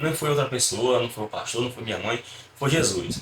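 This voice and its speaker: A man speaks with a fairly high pitch and ordinary pitch variation. Noticeable background noise sits behind him. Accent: Ceará. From Brazil, Fortaleza, Ceará. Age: 20s. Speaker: church deacon. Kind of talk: religious testimony.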